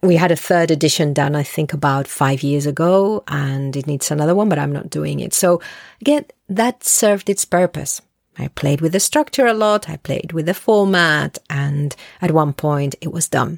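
At a moderate pace, a woman speaks in a very deep, low voice with ordinary pitch variation, the sound dry and close with no echo. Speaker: solo podcast host. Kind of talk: casual solo monologue. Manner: rambling, conversational with hesitations.

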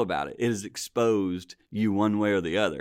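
A plain, everyday voice from a man, fairly low in pitch with ordinary pitch variation and a moderate pace, on a very clean recording with a silent background. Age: 60s. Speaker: pastor and marriage ministry leader. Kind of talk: casual chat.

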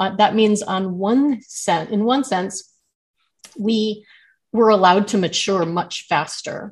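A somewhat breathy woman's voice at a medium pitch, with an American accent. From Southern California. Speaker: memoir author. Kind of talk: interview.

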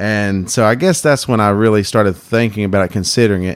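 A man with an American accent at a fairly low pitch, with ordinary pitch variation and a fairly quick pace. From North Carolina, Wilkes County. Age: 20s. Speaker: barber. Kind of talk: interview. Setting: barber shop.

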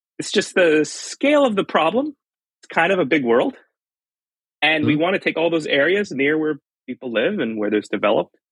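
A man talks in a Californian accent with a fairly high pitch. His pitch swings very widely, and the sound is dry and close with no echo. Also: fairly quick pace. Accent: Californian American English. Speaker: fire engineering professor. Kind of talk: casual chat.

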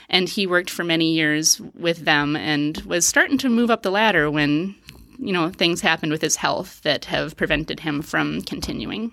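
This woman has an American accent and a fairly low pitch. Her tone is bright and sharp, with vocal fry. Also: lively intonation, moderate pace. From Wisconsin, US Upper Midwest. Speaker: family physician. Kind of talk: casual interview.

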